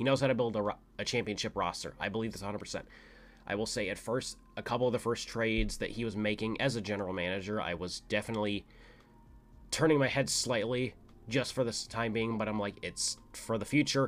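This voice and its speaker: A very fast-talking man with an American accent and fairly even intonation. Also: medium pitch for a man. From US Midwest, St. Louis. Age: 20s. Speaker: podcast host. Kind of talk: casual solo monologue. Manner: filler-heavy, rambling.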